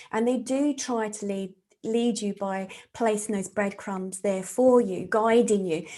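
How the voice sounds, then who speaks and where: A woman speaks at a fairly slow pace in a southern English accent, her fairly high voice carrying a dark, mellow tone. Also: ordinary pitch variation. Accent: English (southern England). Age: 50s. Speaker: psychic medium and therapist. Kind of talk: interview conversation.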